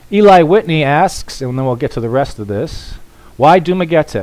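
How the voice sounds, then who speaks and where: An unremarkable speaking voice, a man with an American accent talks at a moderate pace with lively intonation. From United States. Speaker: vlogger, expat. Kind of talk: livestream Q&A. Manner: casual.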